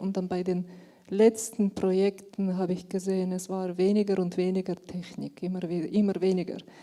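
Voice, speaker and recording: In a monotone, flat intonation, a woman speaks at a medium pitch with a dark, mellow tone. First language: German. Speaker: audience member. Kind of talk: audience question. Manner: halting.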